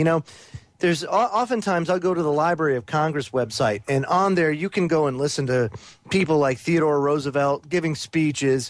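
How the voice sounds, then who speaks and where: Speaking at a fairly quick pace, a man with a normal speaking voice and fairly high pitch uses lively intonation. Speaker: radio talk show host. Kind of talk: talk radio commentary.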